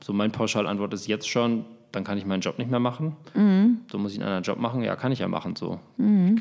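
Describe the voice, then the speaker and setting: The recording is very clean, with a silent background. A man of medium pitch speaks at a fairly quick pace, his pitch swinging very widely. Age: 30s. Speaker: podcast co-host, football journalist and father. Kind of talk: casual chat. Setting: recording at home.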